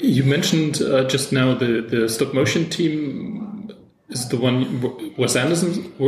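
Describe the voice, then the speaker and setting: A man speaks fairly slowly at a fairly high pitch with lively intonation. Room echo and noticeable background noise are audible. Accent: German. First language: German. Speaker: podcast host, film critic. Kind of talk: interview. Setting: in person in Frankfurt.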